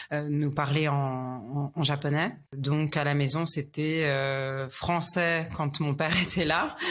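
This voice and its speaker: A woman speaks at a very slow pace in a very deep, low pitch, her intonation monotone and flat and her loudness very even. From Paris, France (ages 4 to 11 in Tokyo). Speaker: luxury retail specialist. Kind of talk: interview. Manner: halting, many hesitations.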